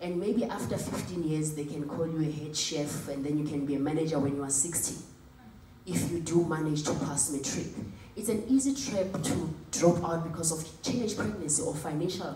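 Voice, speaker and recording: A woman speaks at a moderate pace in a very deep, low pitch with ordinary pitch variation. Light background noise and audible room echo are present. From Africa. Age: young. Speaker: motivational speaker. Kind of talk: motivational talk. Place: hall.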